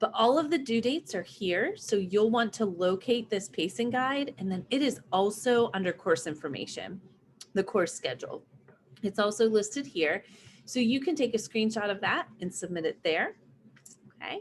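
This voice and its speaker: A woman with a fairly high, somewhat breathy voice speaks at a moderate pace. Her intonation is lively. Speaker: online Spanish teacher. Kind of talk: live online lesson.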